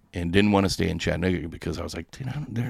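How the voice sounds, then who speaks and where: With vocal fry and lively intonation, a man speaks in a very deep, low voice. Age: 40s. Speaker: online radio station runner. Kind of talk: casual chat. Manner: animated.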